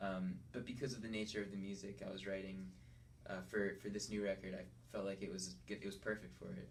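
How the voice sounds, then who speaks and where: A somewhat breathy man with an American accent, very fast pace and very wide pitch swings, amid audible room echo. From Connecticut. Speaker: singer-songwriter. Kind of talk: radio interview. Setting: studio. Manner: halting, many fillers and restarts.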